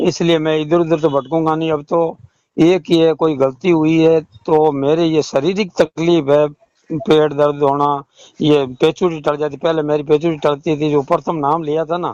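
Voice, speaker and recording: The sound is dry and close, with no echo. A man speaks at a fairly high pitch in a monotone, flat delivery. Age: 60s. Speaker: caller, retired roadways worker and devotee. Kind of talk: phone call about religious doubts.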